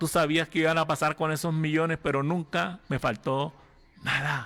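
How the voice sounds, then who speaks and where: A man's bright, sharp voice at a fairly high pitch, delivered at a fairly slow pace in a very clean recording with a silent background. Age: 60s. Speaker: pastor. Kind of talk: sermon.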